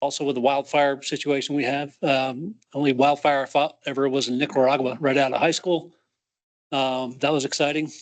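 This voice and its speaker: At a moderate pace, a man with a fairly high pitch talks in a monotone, flat intonation. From New Hampshire. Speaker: volunteer firefighter applicant. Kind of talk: self-introduction at meeting. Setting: meeting room with audience. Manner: hesitant, many fillers.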